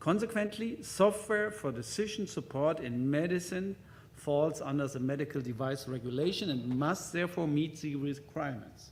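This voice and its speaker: Somewhat breathy and fairly high, a man's voice with a German accent moves at a moderate pace with lively intonation amid audible room echo. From German-speaking Europe. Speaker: hospital IT executive, conference speaker. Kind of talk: conference presentation. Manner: halting, with many fillers.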